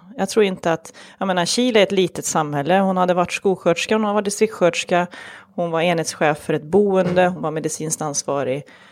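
A woman with fairly low pitch and ordinary pitch variation speaks in an ordinary speaking voice on a very clean recording with a silent background. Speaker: suicide prevention advocate and lecturer. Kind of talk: interview, personal testimony.

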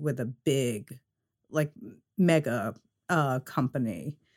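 Speaking very slowly with a New York accent, a woman uses lively intonation. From New York, Queens and Long Island. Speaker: graffiti artist and fashion designer. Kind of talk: casual chat.

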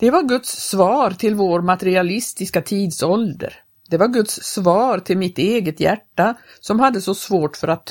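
Ordinary pitch variation runs through plain reading aloud. Behind it, the background is quiet.

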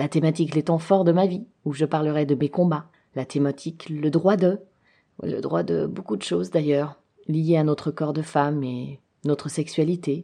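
Her voice is very deep and low, with a dark, mellow tone and ordinary pitch variation. This woman speaks at a moderate pace over a quiet background. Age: 40s. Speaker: podcast host. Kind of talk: personal testimony monologue.

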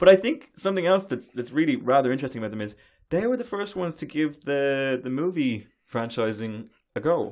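A man with a fairly high voice speaks at a fairly quick pace. His pitch swings very widely and his loudness varies greatly. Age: 20s. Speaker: podcast co-host. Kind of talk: casual chat. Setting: small cold room.

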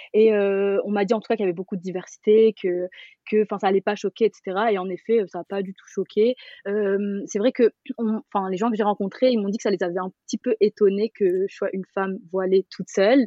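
A woman with an unremarkable speaking voice, medium in pitch, at a fairly quick pace, with fairly even intonation and big swings in loudness. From Paris, France. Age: 20s. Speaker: traveller. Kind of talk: casual chat.

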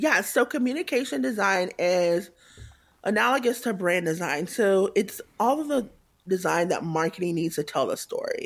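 The speaker has an American accent and very wide pitch swings at a moderate pace. It is a very clean recording with a silent background. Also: woman, medium pitch for a woman. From US South, Tallahassee, North Florida. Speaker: experience designer. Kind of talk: interview.

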